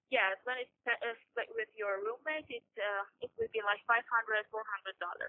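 With a Persian accent, a woman speaks at a moderate pace. Her pitch is fairly high and her intonation fairly even. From Iran. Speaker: graduate student. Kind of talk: interview. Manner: halting, many fillers.

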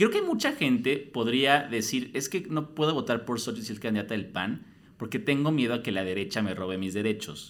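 With very wide pitch swings, a man's speech moves along at a fairly quick pace. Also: medium pitch for a man. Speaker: podcast host. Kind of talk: casual interview. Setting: studio.

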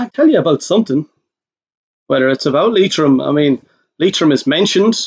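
In a dry, close recording with no echo, a man with a fairly high pitch speaks at a fairly quick pace with long, frequent pauses. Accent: Irish. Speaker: podcast co-host. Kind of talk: casual chat.

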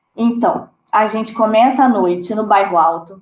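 A woman's unremarkable speaking voice, fairly high, with ordinary pitch variation at a fairly slow pace. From Brazil. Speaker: podcast co-host. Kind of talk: casual chat.

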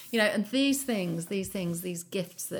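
A woman talks with vocal fry and ordinary pitch variation. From Shropshire, England. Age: 50s. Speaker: ceramic artist. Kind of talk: casual interview chat. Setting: kitchen.

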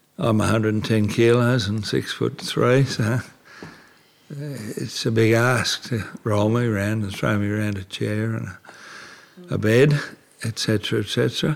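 Speaking at a very slow pace with long, frequent pauses, a man with an Australian accent has a fairly low pitch and ordinary pitch variation. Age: 70s. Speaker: retired antique dealer with motor neurone disease. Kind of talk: interview.

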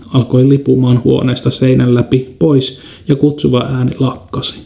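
Delivered at a fairly slow pace with fairly even intonation, this is a plain, everyday voice. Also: man. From Kainuu, northern Finland. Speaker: podcast host. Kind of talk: scripted narration. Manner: formal.

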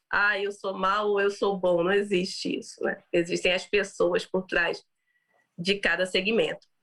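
A woman talks at medium pitch in a plain, everyday voice. Her pace is fairly slow. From Brazil. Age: 30s. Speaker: business executive and founder. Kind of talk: interview about personal story.

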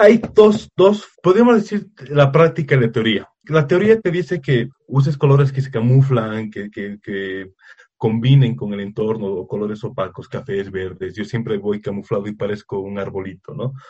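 A somewhat breathy man at a moderate pace, medium in pitch, with lively intonation and big swings in loudness. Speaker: nature photographer. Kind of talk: casual interview. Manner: halting, frequent repetitions.

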